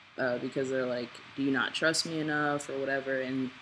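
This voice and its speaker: Over noticeable background noise, a man speaks at medium pitch with monotone, flat intonation. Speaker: transgender man vlogger before starting testosterone. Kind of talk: casual talk to camera. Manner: rambling, hesitant, many fillers.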